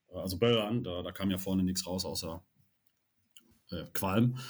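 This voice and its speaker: Heard on a very clean recording with a silent background, a man speaks in a plain, everyday voice at a moderate pace with ordinary pitch variation. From Rhineland, Cologne area. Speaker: LARP event organiser, club chairman. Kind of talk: casual chat.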